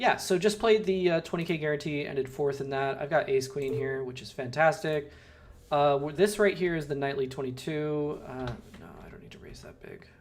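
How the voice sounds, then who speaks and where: Over noticeable background noise, a voice with an American accent moves at a moderate pace with big swings in loudness and ordinary pitch variation. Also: man. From Southern California. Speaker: poker streamer. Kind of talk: live stream commentary. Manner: casual, hesitant with many fillers.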